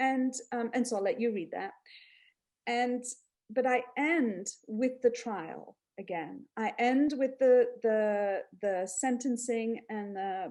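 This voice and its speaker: Speaking very slowly, a woman uses a fairly high voice with ordinary pitch variation. Her tone is dark and mellow. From Mauritius. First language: French. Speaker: historian and author. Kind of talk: panel talk about her book. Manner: halting, many fillers and restarts.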